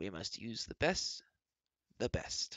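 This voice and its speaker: A put-on character voice, croaky in quality. It comes out raspy as well. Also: man. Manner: chuckling, wise.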